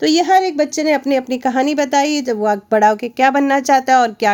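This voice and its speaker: This woman speaks at a high pitch. Her pitch varies in an ordinary way. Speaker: teacher. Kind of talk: lesson explaining a textbook chapter. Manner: loud.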